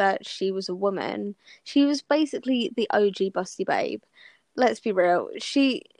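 A woman with an English accent at medium pitch, ordinary pitch variation, a dry, close sound with no echo and a quiet background. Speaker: podcast co-host. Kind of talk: casual chat. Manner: loud.

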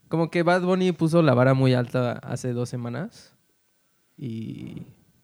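Pitched in the middle range, a man talks with ordinary pitch variation. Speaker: podcast co-host. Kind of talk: casual chat. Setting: recording at home.

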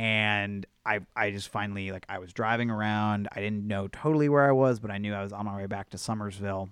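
A man with a plain, everyday voice speaks at a fairly quick pace with hardly any pauses, using a fairly low pitch and fairly even intonation. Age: 30s. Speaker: podcast co-host. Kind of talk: casual chat.

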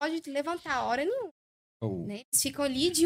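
A woman talks at a fairly quick pace. Her pitch sits high. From Brazil, Goiás (Caldas Novas). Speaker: DJ and entrepreneur. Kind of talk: casual chat.

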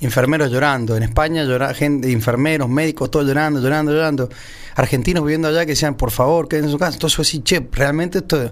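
A man's fairly high voice at a very fast pace, with fairly even intonation and very even loudness. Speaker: radio host. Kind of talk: casual chat.

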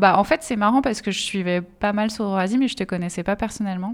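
A woman speaks in a normal speaking voice at a medium pitch, with ordinary pitch variation. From France, Essonne. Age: 30s. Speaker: activist and campaign trainer. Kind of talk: casual conversation.

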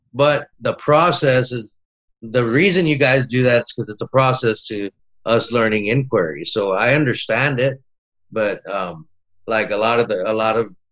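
With an American accent, a man at medium pitch has an unremarkable speaking voice and ordinary pitch variation. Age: 40s. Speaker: teacher-training student. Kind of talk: casual interview.

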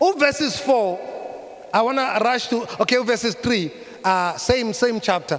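A man speaks with a Zulu accent at a fairly slow pace. His pitch is extremely high, with lively intonation. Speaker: pastor. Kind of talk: sermon, code-switching between English and Zulu. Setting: church service with congregation. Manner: hesitant fillers, repeated uh and um.

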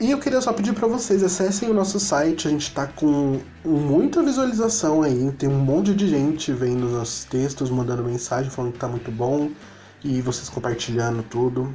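At a moderate pace, a man with a fairly high pitch speaks with lively intonation amid audible room echo. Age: 20s. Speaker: podcast host. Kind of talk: casual chat. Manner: animated.

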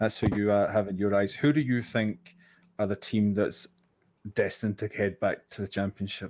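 In a Scottish accent, a man with a fairly low pitch speaks at a moderate pace with fairly even intonation, in a very clean recording with a silent background. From Scotland. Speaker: podcast co-host. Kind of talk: casual chat.

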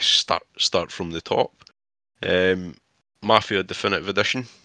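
A man speaks with a Scottish accent. The sound is dry and close, with no echo. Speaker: podcast co-host. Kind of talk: casual chat.

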